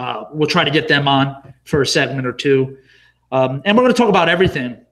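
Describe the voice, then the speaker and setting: A man's fairly high voice moves along at a fairly quick clip. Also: ordinary pitch variation. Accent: New Jersey. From New Jersey (Wayne). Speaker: podcast co-host. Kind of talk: casual chat.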